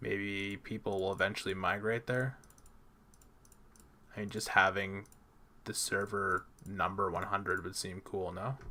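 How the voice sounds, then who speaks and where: Speaking at a fairly slow pace with long, frequent pauses, a man with a Canadian accent has a fairly low pitch, a bright, sharp tone and monotone, flat intonation. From Canada. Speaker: gaming streamer. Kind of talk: live stream gameplay commentary. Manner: casual, thinking aloud.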